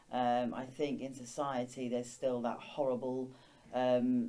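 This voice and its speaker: A woman speaks with a very deep, low pitch and a dark, mellow tone. Audible room echo surrounds her voice. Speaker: teacher. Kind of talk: interview. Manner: stutters.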